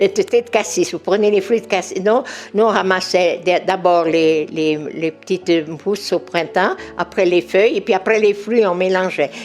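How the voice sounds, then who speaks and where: A woman's medium-pitched voice at a fairly slow pace, with ordinary pitch variation, very even loudness and music in the background. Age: 80s+. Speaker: natural remedies expert. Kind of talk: interview. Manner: halting, repeats words.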